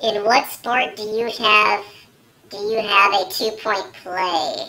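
In a put-on character voice, a man projects loudly at a high pitch and a fairly slow pace, his intonation fairly even but his loudness swinging widely. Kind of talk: comedy sketch to camera. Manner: casual, hesitant.

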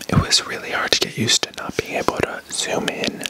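A soft-spoken man whispering at a moderate pace, dry with no echo, over noticeable background noise. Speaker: ASMR creator. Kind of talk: soft ASMR show-and-tell chat. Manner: close soft ASMR whisper. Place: home room. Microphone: studio mic.

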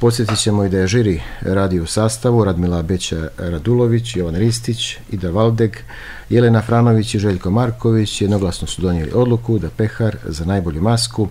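Over light background noise, a man talks fairly quickly at a fairly low pitch in an ordinary speaking voice, with ordinary pitch variation. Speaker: radio show host. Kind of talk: radio host introduction, news summary. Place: studio.

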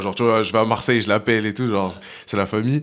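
Fairly low pitch from a man's voice. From France, Lyon; France. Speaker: rap music video director; guest. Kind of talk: casual chat. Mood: relaxed, casual slangy French. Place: studio. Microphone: studio mic.

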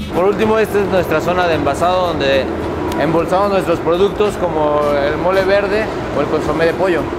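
A man talking at a fairly quick pace with music in the background. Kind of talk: guided tour commentary. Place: factory.

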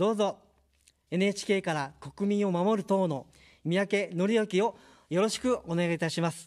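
Against a quiet background, a man talks at a fairly slow pace. His voice is high-pitched, with ordinary pitch variation. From Japan, Kanagawa; Japan. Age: 50s. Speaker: political candidate; candidate. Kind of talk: campaign speech. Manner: formal. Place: studio. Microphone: studio mic.

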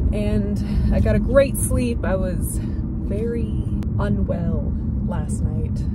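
A woman speaks at a very slow pace. Loud background noise fills the dry sound, which has no echo. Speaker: vlogger. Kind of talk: casual vlog chat. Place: car. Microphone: phone near.

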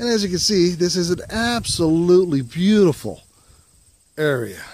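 A man talks at a moderate pace with lively intonation. His pitch is high and his tone slightly mellow.

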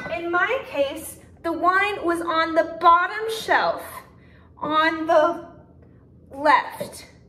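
In a room with audible echo, a woman projects a bright, sharp voice very slowly, with ordinary pitch variation and long, frequent pauses. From US South. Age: 20s. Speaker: YouTuber. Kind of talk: tutorial. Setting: at home, kitchen. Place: kitchen. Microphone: phone near.

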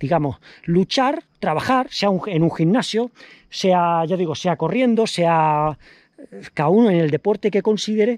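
A man talks with a quiet background behind him. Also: dry sound with no echo. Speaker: runner vlogger. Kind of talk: casual vlog chat. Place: street. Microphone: phone near.

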